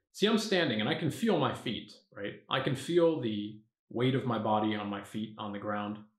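Ordinary pitch variation from a man at a moderate pace, with audible room echo and a quiet background. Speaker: meditation teacher. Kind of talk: guided meditation. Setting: video, standing up while demonstrating. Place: home room.

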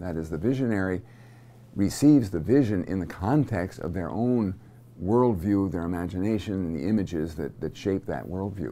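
At a moderate pace, a man's very deep, low voice carries a dark, mellow tone. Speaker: seminary teacher. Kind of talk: lecture. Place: studio. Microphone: lapel.

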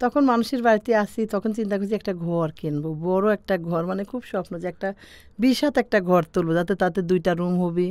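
A woman speaks with ordinary pitch variation, the sound dry with no echo. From Bangladesh, Pabna district; Bangladesh. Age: 40s. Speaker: farmer. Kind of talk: life story interview. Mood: warm, reflective, smiling. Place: studio. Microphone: studio mic.

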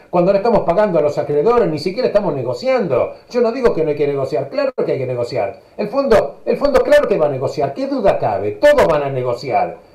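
Talking very fast with hardly any pauses, a man is heard in a room with audible echo. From Argentina. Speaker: economist; radio talk show guest. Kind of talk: political commentary. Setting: video call. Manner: animated. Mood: indignant, argumentative. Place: home room. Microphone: video call.

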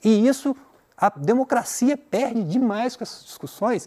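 Quiet surroundings and a man's dark, mellow tone. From Brazil. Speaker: teacher. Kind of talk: lecture. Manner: conversational, many filler 'né?'. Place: studio.

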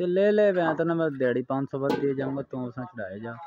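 A man talks fast at a medium pitch with lively intonation. His tone is slightly mellow.

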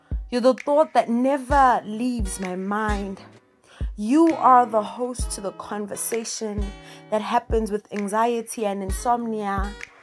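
Music plays in the background while a woman speaks at a fairly slow pace, her loudness swinging widely. Her pitch is fairly high, with ordinary pitch variation. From South Africa. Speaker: spoken word poet. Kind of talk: spoken word poetry performance. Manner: slow, reflective.

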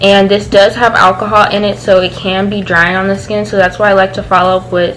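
A woman talks at a moderate pace with noticeable background noise behind her. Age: young. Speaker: beauty and lifestyle vlogger; beauty vlogger. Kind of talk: casual product review vlog. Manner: animated. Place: home room. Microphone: phone near.

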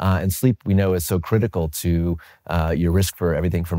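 A dark, mellow tone from a man against a quiet background. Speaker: interviewee. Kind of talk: interview answer. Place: home room.

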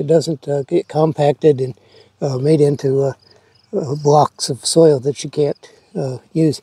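A man with an American accent speaks at a fairly slow pace in a somewhat breathy voice with a dark, mellow tone. His pitch sits fairly high for a man and his intonation stays fairly even, in a dry, close recording with no echo. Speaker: home gardener. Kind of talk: gardening tutorial. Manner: hesitant, frequent uh fillers.

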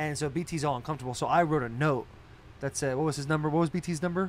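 A man talks at a very fast pace with an American accent. His pitch varies an ordinary amount, and light background noise sits behind him. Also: dry sound with no echo. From Arizona. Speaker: podcast co-host, pro football player; podcast host. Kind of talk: casual chat. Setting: studio on a bus. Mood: animated, joking storytelling. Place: bus. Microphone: studio mic.

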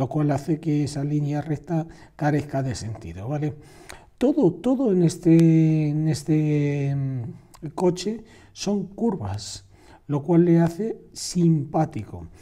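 Recorded very cleanly against a silent background, a man speaks at a very slow pace with a dark, mellow tone and lively intonation. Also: fairly high pitch for a man. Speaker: drawing teacher. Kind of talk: tutorial. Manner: halting.

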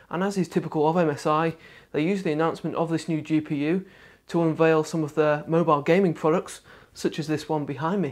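Over a quiet background, a man speaks at a moderate pace with fairly even intonation. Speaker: tech reviewer. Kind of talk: product review presentation. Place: studio.

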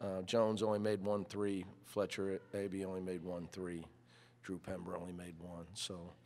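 A man's very deep, low voice at a moderate pace. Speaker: head basketball coach. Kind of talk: press conference opening statement. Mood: calm, satisfied. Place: hall. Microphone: podium.

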